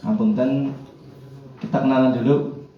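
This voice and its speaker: With audible room echo and noticeable background noise, a man at a medium pitch speaks with very wide pitch swings. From Central Java, Kebumen. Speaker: Quran teacher. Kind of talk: workshop instruction. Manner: formal.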